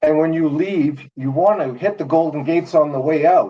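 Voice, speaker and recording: A man speaks with a fairly high pitch. His pace is moderate and his pitch variation ordinary. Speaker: live stream participant. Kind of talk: casual chat. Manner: loud. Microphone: laptop mic.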